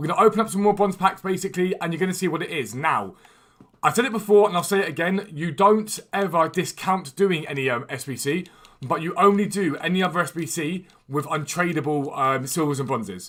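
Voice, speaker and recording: On a very clean recording with a silent background, the speaker has a British accent. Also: man, high pitch for a man, ordinary pitch variation. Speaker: gaming streamer. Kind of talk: live stream commentary. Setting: live stream. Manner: casual, chatty.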